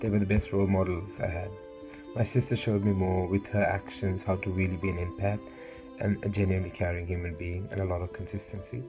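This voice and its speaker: Over music in the background, a man talks at a very fast pace with a very deep, low pitch and ordinary pitch variation. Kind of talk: personal speech recorded to camera. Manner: earnest, reflective.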